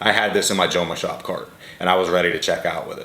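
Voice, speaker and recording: A man at a moderate pace, with audible room echo. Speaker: fragrance reviewer. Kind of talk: casual product review.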